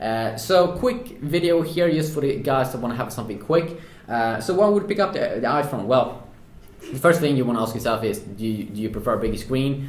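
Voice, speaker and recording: Audible room echo surrounds a man speaking at a fairly quick pace in a fairly high pitch. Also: lively intonation. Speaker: tech reviewer. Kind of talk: product review. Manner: hesitant, many filler sounds.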